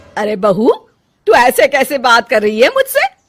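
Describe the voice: Putting on a character voice, a woman speaks at a fairly slow pace with a fairly high pitch and very wide pitch swings while faint music plays in the background.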